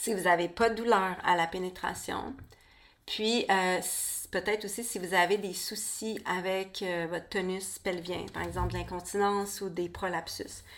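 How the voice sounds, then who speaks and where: In a Quebec accent, a woman speaks at a medium pitch and a fairly slow pace, her intonation monotone and flat. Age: 40s. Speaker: podcast host, birth and women's health educator. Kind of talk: solo podcast monologue. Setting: home studio.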